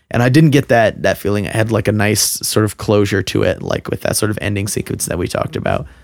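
Barely pausing, a man with a fairly low voice speaks at a very fast pace with ordinary pitch variation. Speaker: podcast host. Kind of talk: casual chat.

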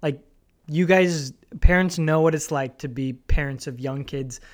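In a very clean recording with a silent background, a man with a normal speaking voice and an American accent speaks at a fairly slow pace, with fairly high pitch and fairly even intonation. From Southern California. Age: 30s. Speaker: software sales professional, son of the hosts. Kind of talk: casual chat.

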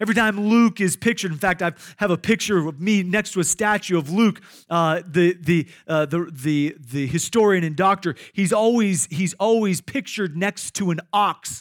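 A man speaks at a moderate pace in a high voice with ordinary pitch variation. The sound is dry and close with no echo, in a very clean recording with a silent background. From Iowa. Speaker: pastor. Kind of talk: sermon. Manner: halting, frequent repetitions and fillers.

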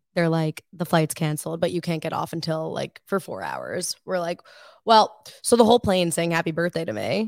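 With a normal speaking voice, a woman talks at a moderate pace and a fairly low pitch with ordinary pitch variation, recorded very cleanly over a silent background with a dry, close sound and no echo. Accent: American. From Long Island, New York. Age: 20s. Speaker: student podcast co-host. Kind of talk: casual chat.

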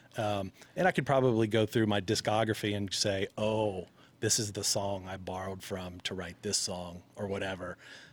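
A fairly low-pitched man with an unremarkable speaking voice, fairly even intonation and a moderate pace, on a very clean recording with a silent background. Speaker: musician guest. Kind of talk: casual banter chat.

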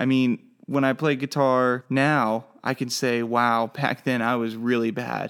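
A man talks in a flat monotone at a medium pitch and a fairly slow pace. The recording is very clean, with a silent background. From Oklahoma. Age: 20s. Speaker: podcaster learning web development. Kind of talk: solo podcast monologue. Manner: casual, halting with fillers.

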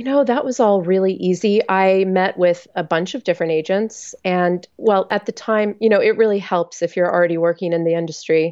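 Speaking in an ordinary speaking voice with an American accent, a woman at medium pitch talks at a fairly quick pace with ordinary pitch variation and hardly any pauses. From Texas. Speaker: author. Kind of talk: interview.

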